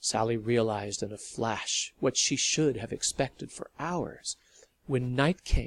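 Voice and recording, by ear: The passage is read aloud in a natural voice. Its pitch moves in an ordinary way.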